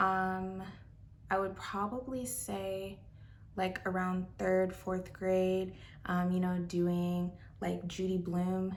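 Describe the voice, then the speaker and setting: Very slow speech from a woman at medium pitch, over noticeable background noise. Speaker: booktuber. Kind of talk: casual talk to camera. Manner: whispered.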